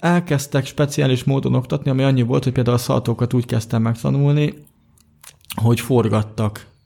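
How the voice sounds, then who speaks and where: A man talks at a fairly quick pace in a medium-pitched, dark, mellow voice that is somewhat breathy. His intonation is fairly even and his loudness very even. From Hungary, Budapest. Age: 20s. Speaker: blind software developer and athlete. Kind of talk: interview.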